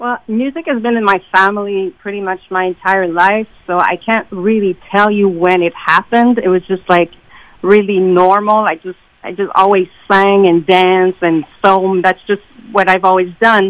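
A woman speaks at a moderate pace and medium pitch, in a plain, everyday voice with fairly even intonation. The sound is dry and close, with no echo. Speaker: singer songwriter. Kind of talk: casual interview.

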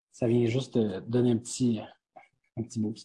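With a dark, mellow tone, a man talks in a somewhat breathy voice. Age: 20s. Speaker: distillery co-owner. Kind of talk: interview. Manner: halting.

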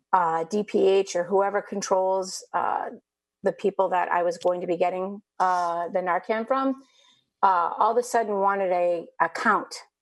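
A woman with a plain, everyday voice speaks at a medium pitch with ordinary pitch variation. She goes at a fairly slow pace over a quiet background. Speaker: family support worker, co-host. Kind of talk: casual chat.

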